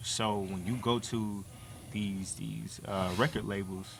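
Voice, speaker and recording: Audible room echo surrounds a man speaking at a fairly low pitch with fairly even intonation. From US South. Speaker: battle rapper. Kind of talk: podcast interview. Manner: casual, conversational.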